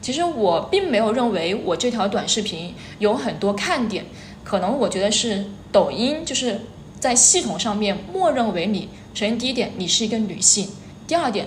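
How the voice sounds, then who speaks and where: With audible room echo and noticeable background noise, a woman talks at a moderate pace, fairly high in pitch, with lively intonation. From Hubei, China (Xiantao). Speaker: short-video educator, former primary school teacher. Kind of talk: interview chat. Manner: hesitant, many fillers.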